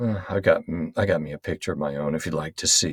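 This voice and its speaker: Quiet and raspy, a man does a put-on character voice at a very deep, low pitch. He speaks at a very fast pace. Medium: read story. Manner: quiet, halting.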